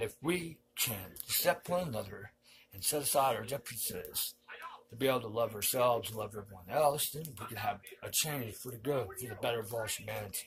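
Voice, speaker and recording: In a plain, everyday voice, a man talks at a fairly quick pace and medium pitch, with ordinary pitch variation and big swings in loudness. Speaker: online commentator. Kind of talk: monologue.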